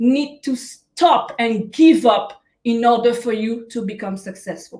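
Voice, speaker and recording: Speaking very slowly, a woman with a French Caribbean accent uses a high pitch. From Guadeloupe. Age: young. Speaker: life coach. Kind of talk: motivational talk. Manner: hesitant, many fillers.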